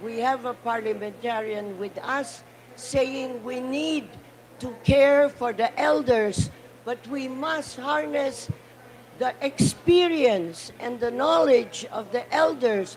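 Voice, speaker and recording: High-pitched and lively in intonation, a woman speaks very slowly against noticeable background noise. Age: 80s+. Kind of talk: speech. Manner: impassioned.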